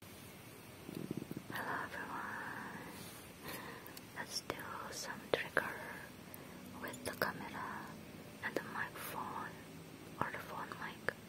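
Very slow speech with long, frequent pauses over loud background noise. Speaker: ASMR creator. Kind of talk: ASMR trigger video, soft whispered talk to camera. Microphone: lapel.

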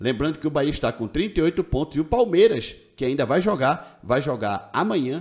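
In a quiet setting, a man with a fairly high pitch and vocal fry speaks at a moderate pace with lively intonation. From Brazil. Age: 40s. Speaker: football YouTuber. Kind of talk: casual video commentary. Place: home room. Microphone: studio mic.

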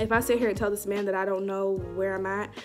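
Clear music plays in the background. Over it, a woman speaks at a fairly quick pace. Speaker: vlogger. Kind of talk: casual storytime vlog chat. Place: home room. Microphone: phone near.

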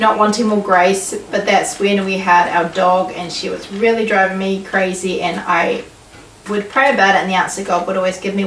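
A woman speaks at a moderate pace with fairly even intonation. Light background noise and audible room echo are present. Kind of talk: casual devotional vlog talk. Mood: calm, reflective, warm. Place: home room. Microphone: camera far.

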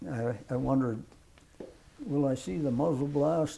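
A man with an American accent talks at a moderate pace in a dark, mellow, somewhat breathy tone. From US Midwest, south central Nebraska. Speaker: World War II veteran. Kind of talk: elderly veteran's plainspoken wartime recollection in an oral history interview. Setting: filmed interview with microphone. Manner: halting, rambling with fillers and restarts; matter-of-fact, folksy with occasional laughs. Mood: reflective, calm. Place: home room. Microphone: lapel.

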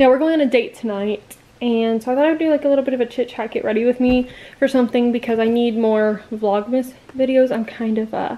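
A woman speaks at a moderate pace, her intonation fairly even. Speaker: vlogger. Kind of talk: casual vlog chat. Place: home room. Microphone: webcam.

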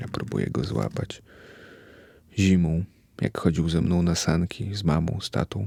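A man's very deep, low, dark and mellow voice with vocal fry and lively intonation, at a moderate pace with long, frequent pauses, dry and close with no echo. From Poland, Białystok. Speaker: podcaster. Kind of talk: personal monologue. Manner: reflective.

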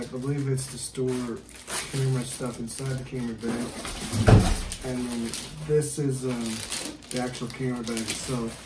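Noticeable noise sits in the background. The talking proceeds at a middling speed. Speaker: parent unboxing with child. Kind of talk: casual unboxing talk. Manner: soft-spoken. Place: home room. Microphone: camera far.

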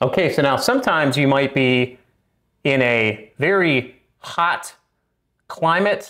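The delivery comes at a very slow pace in a bright, sharp tone with ordinary pitch variation. The background is quiet. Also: man. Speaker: HVAC educator. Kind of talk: tutorial.

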